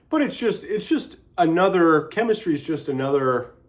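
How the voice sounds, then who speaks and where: A man speaks loudly. His pace is fairly slow. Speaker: vlogger. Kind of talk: casual monologue. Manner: halting.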